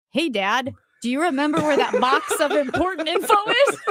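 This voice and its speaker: A woman speaks at a fairly quick pace. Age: 30s. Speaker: radio host. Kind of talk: casual chat.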